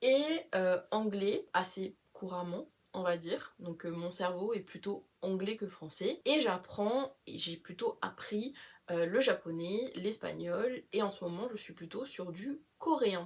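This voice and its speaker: The woman's pitch shifts in an ordinary way. She speaks very slowly. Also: medium pitch for a woman. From Réunion. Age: 20s. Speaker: travel vlogger. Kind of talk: casual vlog introduction. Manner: casual, frequent hesitations and code-switching to English.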